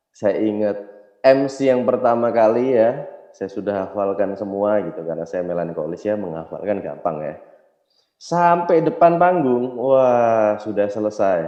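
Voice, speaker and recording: Against audible room echo, a man speaks at a fairly slow pace in a fairly low voice with lively intonation. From Indonesia, Yogyakarta (Java). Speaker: network marketing business trainer. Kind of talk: motivational seminar talk.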